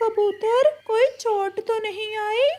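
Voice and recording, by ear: In a cartoonish character voice, a woman squeaks at an extremely high pitch.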